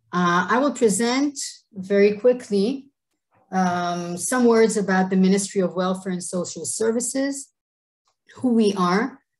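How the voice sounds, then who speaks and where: Somewhat breathy, a woman speaks at a fairly slow pace with a medium pitch and ordinary pitch variation. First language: Hebrew. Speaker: government official. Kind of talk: presentation. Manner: halting.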